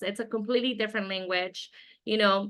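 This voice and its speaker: Fairly quick, fairly even speech from a woman with a Spanish accent. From Mexico, moved to the US at twelve. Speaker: winemaker and winery owner. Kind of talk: interview.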